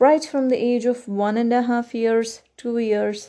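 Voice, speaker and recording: A woman with a Kannada accent speaks in a fairly high voice with a dark, mellow tone. Her intonation is fairly even over a quiet background. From India. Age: 20s. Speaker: podcaster, student. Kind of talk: solo monologue.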